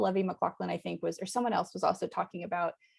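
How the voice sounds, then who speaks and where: A woman's voice with an American accent. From United States. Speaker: anthropologist, university academic. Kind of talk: academic lecture over video call. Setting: video call. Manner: conversational with frequent fillers (um).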